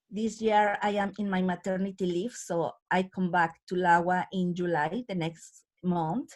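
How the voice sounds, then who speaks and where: A woman speaks at a fairly slow pace. Her pitch is medium and her intonation fairly even. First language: Spanish. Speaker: community activist. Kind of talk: panel talk. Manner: halting, with filler sounds.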